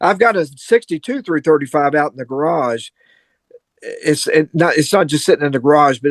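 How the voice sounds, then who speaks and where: In a Kentucky accent, a man talks at a moderate pace and fairly high pitch with ordinary pitch variation, recorded with a dry, close sound and no echo. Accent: Kentucky Southern US. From Kentucky (Louisville, south central Kentucky). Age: 70s. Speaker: guitarist. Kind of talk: casual chat.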